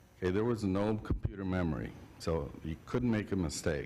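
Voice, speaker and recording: A fairly low-pitched male voice with ordinary pitch variation and audible room echo. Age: 60s. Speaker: civil engineer and land planner presenting to council. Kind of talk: public presentation at city council meeting. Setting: city council meeting. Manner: halting, with fillers.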